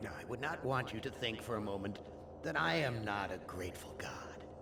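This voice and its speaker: Amid loud background noise and a clear echo, a man uses a put-on character voice with a fairly low pitch. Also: moderate pace. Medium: video game.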